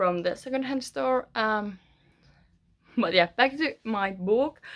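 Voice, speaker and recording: A woman with a Finnish accent, medium pitch and lively intonation at a fairly slow pace, on a very clean recording with a silent background. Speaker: author. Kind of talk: casual vlog. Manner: hesitant, many fillers.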